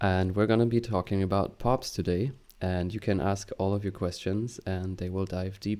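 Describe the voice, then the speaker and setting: A man's fairly low-pitched voice, dark and mellow in tone, with fairly even intonation. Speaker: meetup host. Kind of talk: live online meetup introduction.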